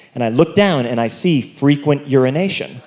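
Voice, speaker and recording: A man's voice over noticeable background noise. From Ireland. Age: 20s. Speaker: stand-up comedian. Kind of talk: stand-up. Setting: stage with audience.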